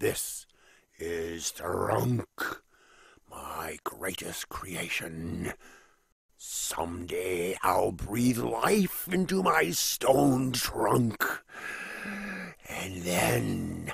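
A raspy, cartoonish character voice talks at a very slow pace with long, frequent pauses. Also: man, very deep, low pitch for a man. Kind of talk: animated film dialogue. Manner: theatrical, grandiose.

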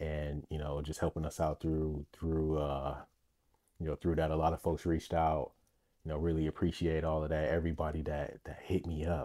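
Against a quiet background, a man speaks at a very deep, low pitch. His delivery is monotone and flat at a moderate pace. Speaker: podcast host. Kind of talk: casual podcast monologue. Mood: warm, grateful. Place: home room. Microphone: studio mic.

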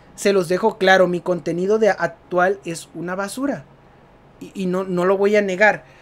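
The speaker uses a Mexican accent at a moderate pace. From Mexico. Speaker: gaming youtuber. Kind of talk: casual vlog commentary. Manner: natural, unscripted.

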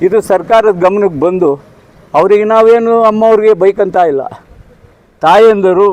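Ordinary pitch variation in a man's high voice. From Sira, Tumakuru district, Karnataka. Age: 70s. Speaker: local resident. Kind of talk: street interview complaint.

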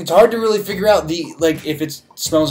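Faint music plays in the background as a man speaks at a moderate pace with ordinary pitch variation. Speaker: beer reviewer. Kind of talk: casual review vlog chat. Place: home room.

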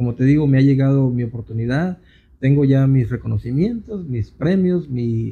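A man with a fairly high pitch speaks at a fairly slow pace, somewhat breathy, with a dark, mellow tone and ordinary pitch variation. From Jalisco, Mexico (Cihuatlán). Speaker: songwriter. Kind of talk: casual interview chat. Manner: halting, many repetitions. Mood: reflective, slightly rueful. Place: studio. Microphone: handheld.

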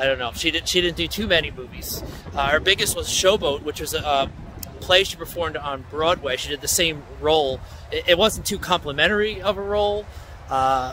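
A man at a moderate pace with ordinary pitch variation, in a dry sound with no echo and light background noise. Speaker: local history vlogger. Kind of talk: casual historical narration. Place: open country. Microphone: phone near.

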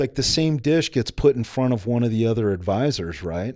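In an American accent, a man with a dark, mellow tone and lively intonation speaks at a moderate pace against a quiet background. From United States. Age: 40s. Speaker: army special forces veteran and entrepreneur. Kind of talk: casual interview. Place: studio. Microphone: studio mic.

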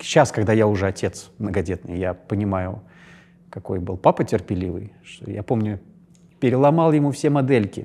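At a fairly slow pace, a man talks with lively intonation in a fairly low-pitched voice with a dark, mellow tone. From Russia, St. Petersburg. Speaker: actor. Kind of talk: interview. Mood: calm, reflective. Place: studio. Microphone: lapel.

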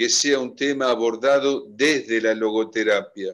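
Against a quiet background, a man talks at a very slow pace. His pitch variation is ordinary. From Argentina. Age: old. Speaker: event coordinator. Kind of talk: moderating an online seminar. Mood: warm, reflective. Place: home room. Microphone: video call.

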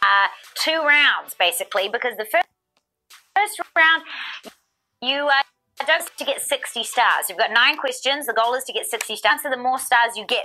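Raised, projected voice in a New Zealand accent, lively intonation and a fairly quick pace, with faint music in the background. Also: woman. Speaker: trivia game show host. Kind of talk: live game show hosting. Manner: animated. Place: studio.

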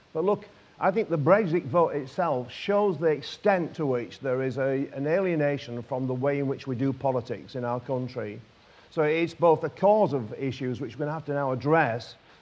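With a northern English accent, a man speaks at a moderate pace. His pitch is fairly high, with ordinary pitch variation. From northern England. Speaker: politician. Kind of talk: panel speech. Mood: earnest, persuasive. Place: hall. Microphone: lapel.

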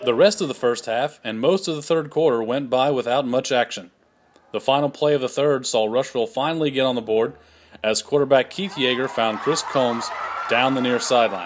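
Sounding upbeat, a man with a medium-pitched voice talks at a fairly quick pace with ordinary pitch variation against noticeable background noise. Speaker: sports highlights host. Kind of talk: sports highlight narration, recapping the game play by play. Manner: steady, upbeat, formal broadcast delivery; brisk and clear, reading a prepared script.

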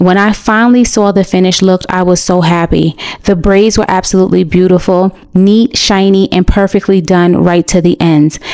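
Hardly pausing, a woman with an American accent speaks in an unremarkable speaking voice at a moderate pace, her medium pitch set in a fairly even intonation. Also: very even loudness. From United States. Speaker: vlogger. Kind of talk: vlog narration.

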